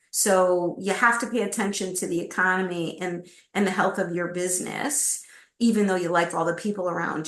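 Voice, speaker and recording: A woman talks at a fairly quick pace in a normal speaking voice. Her pitch is medium, and her intonation fairly even. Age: 60s. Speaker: executive recruiter. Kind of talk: interview.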